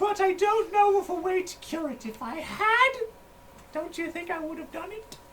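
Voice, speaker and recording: A put-on character voice, female-sounding and extremely high-pitched, at a moderate pace over clear background noise. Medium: actual play. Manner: folksy, rambling.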